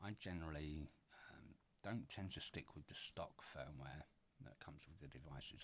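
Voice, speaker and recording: In a British accent, a man with a very deep, low pitch and vocal fry speaks with ordinary pitch variation. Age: 40s. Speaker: retro gaming YouTuber. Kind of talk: casual product overview. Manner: chatty, many filler words. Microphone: poor microphone sound.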